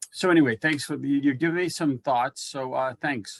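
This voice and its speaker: The sound is dry and close, with no echo. A man talks at a fairly slow pace, his pitch varying in an ordinary way. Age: 60s. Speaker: audience member, veteran. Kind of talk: Q&A question. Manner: halting.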